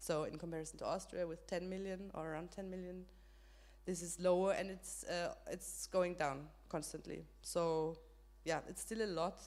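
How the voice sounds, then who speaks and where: A woman speaks with a German accent. Audible room echo surrounds her voice. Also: moderate pace. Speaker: panelist on women's rights. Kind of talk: panel discussion. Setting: stage with audience, live stream. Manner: halting, many fillers.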